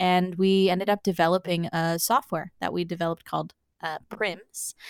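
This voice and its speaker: A woman speaks with a Canadian Maritime accent. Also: dry, close sound with no echo, very clean recording, silent background. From Prince Edward Island, Canada. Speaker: med-tech startup founder and PhD researcher. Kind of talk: interview.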